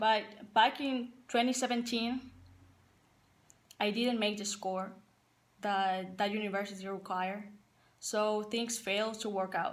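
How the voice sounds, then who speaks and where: A woman with a Paraguayan accent speaks at a fairly slow pace with a fairly high pitch and fairly even intonation. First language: Spanish. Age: 20s. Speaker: college soccer player and assistant coach. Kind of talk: personal testimony to team.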